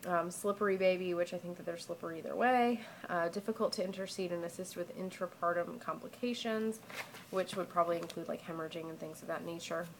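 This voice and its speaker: The woman speaks at a very fast pace with a fairly low pitch and fairly even intonation. Noticeable background noise is present. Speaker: pregnant vlogger. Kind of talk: casual talk to camera. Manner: monotone.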